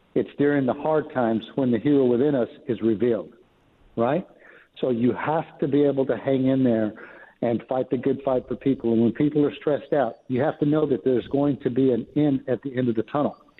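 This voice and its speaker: At a fairly quick pace, a man speaks at a medium pitch with very even loudness and fairly even intonation. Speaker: emergency management leader and trainer. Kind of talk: interview. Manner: calm.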